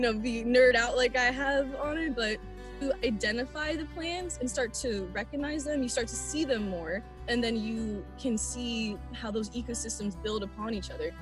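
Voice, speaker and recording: Over clear background music, a woman speaks at a moderate pace with a dry sound and no echo. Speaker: guest. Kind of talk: interview answer. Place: forest. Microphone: video call.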